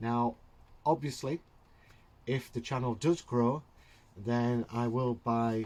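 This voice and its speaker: In a Yorkshire accent, the speaker talks at a fairly slow pace with ordinary pitch variation. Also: man. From Yorkshire, England. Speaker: hobby YouTuber, terrain builder. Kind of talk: casual tutorial narration. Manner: halting, many fillers.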